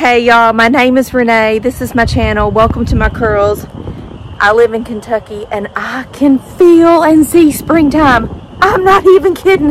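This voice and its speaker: Moderate pace from a woman with a high pitch, dry sound with no echo and light background noise. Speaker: dog owner vlogger. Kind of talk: casual vlog chat. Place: garden. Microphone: phone near.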